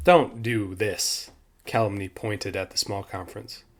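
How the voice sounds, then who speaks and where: On a very clean recording with a silent background, a man uses a put-on character voice, fairly low in pitch, with ordinary pitch variation at a moderate pace. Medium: read story. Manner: curt, menacing.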